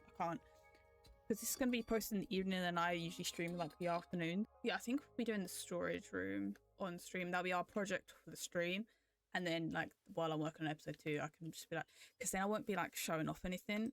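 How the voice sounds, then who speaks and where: A woman's fairly low voice in a British accent, very fast, with ordinary pitch variation and a dry, close sound with no echo. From Britain. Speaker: gaming YouTuber and streamer. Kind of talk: casual let's-play voiceover commentary. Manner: casual, hesitant with many fillers.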